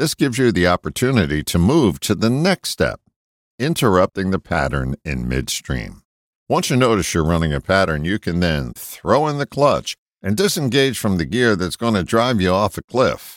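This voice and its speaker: In a very clean recording with a silent background, a voice with an American accent shows vocal fry and very wide pitch swings. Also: man, fairly low pitch for a man, moderate pace, dry, close sound with no echo. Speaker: broadcaster and self-help writer. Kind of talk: reading aloud an essay.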